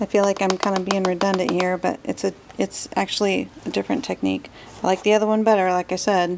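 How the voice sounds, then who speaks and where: The voice is quiet and very even in loudness, with fairly even intonation, at a very fast pace. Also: woman, medium pitch for a woman. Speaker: craft tutorial maker. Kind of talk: casual craft tutorial talk. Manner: quiet, kept-down voice; chatty, rambling.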